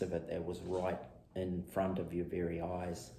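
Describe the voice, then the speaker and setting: A somewhat breathy man with a very deep, low pitch and a dark, mellow tone. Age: 50s. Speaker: podcast host, former lumberjack, personal trainer. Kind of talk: podcast monologue. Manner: monotone, deliberate, matter of fact, laconic.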